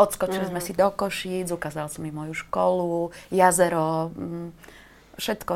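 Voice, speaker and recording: Keeping a fairly even intonation, a woman speaks at a moderate pace. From eastern Slovakia, Košice. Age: 50s. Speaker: writer. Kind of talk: casual chat. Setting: studio.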